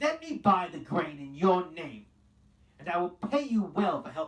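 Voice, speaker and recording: A man uses a gruff, growling put-on character voice with a high pitch, delivered at a moderate pace. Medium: read story. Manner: growling, gruff.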